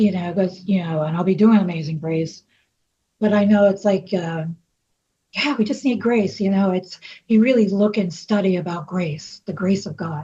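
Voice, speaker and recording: Her New York accent clear, a woman speaks at a moderate pace and medium pitch, with ordinary pitch variation and a dark, mellow, somewhat breathy tone. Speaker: singer. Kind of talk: interview.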